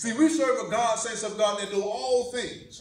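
Audible room echo is present. A man speaks with an extremely high pitch. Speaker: pastor. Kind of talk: sermon. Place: church. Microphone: camera far.

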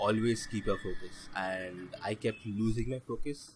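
This man's voice sits fairly low. It has a somewhat breathy quality. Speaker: learner motorcyclist. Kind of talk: vlog voice-over narration. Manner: flat, lifeless.

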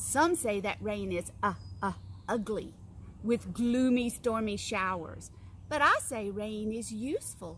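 Speaking very slowly, a woman is heard in a dry recording with no echo and light background noise. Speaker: teacher reading to children. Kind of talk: story reading and letter tutorial. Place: garden.

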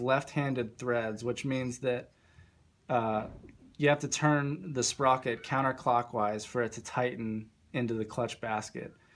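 The man talks at a fairly slow pace. His pitch variation is ordinary. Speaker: parts maker demonstrating install. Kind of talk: tutorial. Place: workshop. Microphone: phone near.

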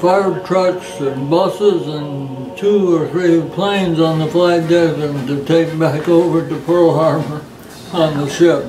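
A man talks at a very slow pace with fairly even intonation. Noticeable background noise sits behind him. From United States. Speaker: World War II navy veteran. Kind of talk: interview answer. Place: home room. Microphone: camera far.

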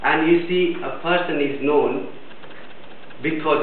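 A man talks at a fairly slow pace. Audible room echo and light background noise accompany him. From India. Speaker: biomedical engineer giving a speech at a speakers club. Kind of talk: prepared speech. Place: meeting room. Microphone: camera far.

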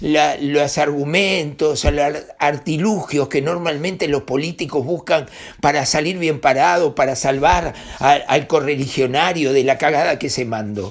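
A man is speaking. The background is quiet. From Uruguay. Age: 60s. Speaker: newspaper director and political commentator; newspaper director, political commentator. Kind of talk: political commentary monologue. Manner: animated. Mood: angry, indignant. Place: home room. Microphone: webcam.

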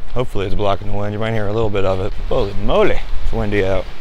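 Noticeable background noise sits under speech delivered very fast. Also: man, dry sound with no echo. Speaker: outdoor photographer vlogger. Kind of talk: casual vlog chat. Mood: jokey, profane, upbeat. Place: forest. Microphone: lapel.

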